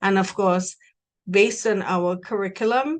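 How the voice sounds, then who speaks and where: A woman speaks with a Trinidadian accent at a moderate pace. The background is quiet. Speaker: university recruiter. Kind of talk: presentation.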